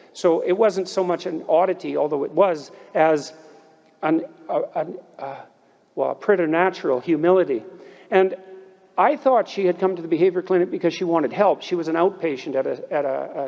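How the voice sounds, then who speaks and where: Amid noticeable background noise, a man talks at a fairly quick pace in a high pitch with ordinary pitch variation. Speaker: commencement speaker, clinical psychologist. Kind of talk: commencement speech.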